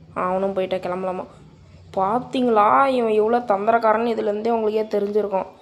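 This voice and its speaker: A woman speaks with a fairly high pitch in a monotone, flat intonation. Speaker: gaming youtuber. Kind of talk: gameplay commentary.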